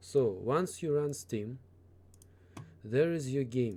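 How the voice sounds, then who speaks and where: A man with a Russian accent speaks at a very slow pace in a medium pitch, with ordinary pitch variation and a dark, mellow tone. The recording is very clean, with a silent background. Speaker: gaming tutorial YouTuber. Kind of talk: tutorial. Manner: halting, with fillers.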